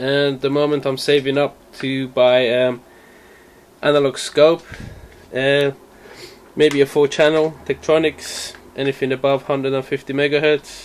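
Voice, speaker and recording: Over light background noise, a man speaks in a monotone, flat intonation at a moderate pace with long, frequent pauses. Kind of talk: casual tour narration. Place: workshop. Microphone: phone near.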